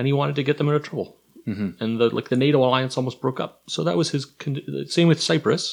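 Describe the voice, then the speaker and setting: With a Canadian accent, a man talks at a very fast pace in a fairly high pitch against a quiet background. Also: ordinary pitch variation. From Kingston, Ontario. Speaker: history professor. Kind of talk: casual chat. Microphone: too far from mic.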